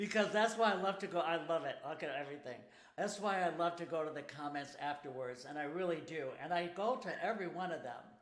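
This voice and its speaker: Amid noticeable background noise and audible room echo, a man talks very fast in a high voice with ordinary pitch variation. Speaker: singer launching a crowdfunding campaign. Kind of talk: live stream chat. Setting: home studio live broadcast.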